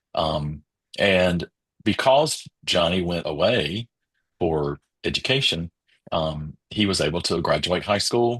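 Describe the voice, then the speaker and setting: In a North Carolina accent, a man speaks at a very deep, low pitch with ordinary pitch variation, in a dry, close sound with no echo against a quiet background. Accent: US Southern (North Carolina). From rural eastern North Carolina. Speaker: educational audiologist. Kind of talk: interview.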